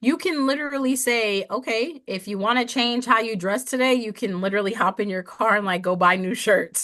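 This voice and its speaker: Fairly quick and almost without pauses, a woman with an American accent speaks in an animated, bright, sharp tone with ordinary pitch variation. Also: fairly high pitch for a woman. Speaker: entrepreneur and mother. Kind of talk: casual chat.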